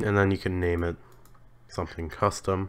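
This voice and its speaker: The man speaks in a monotone, with flat intonation. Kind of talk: screen-recording tutorial narration. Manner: casual, hesitant.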